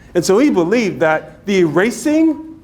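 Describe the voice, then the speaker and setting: A high-pitched man with an American accent, moderate pace, and very wide pitch swings. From western Pennsylvania, New Brighton. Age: 70s. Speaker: diversity trainer. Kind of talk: training workshop.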